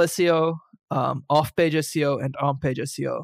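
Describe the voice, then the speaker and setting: Here a man speaks at a fairly high pitch with fairly even intonation. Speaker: podcast co-host, SEO blogger. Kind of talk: casual chat. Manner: loud; halting, many repeated words.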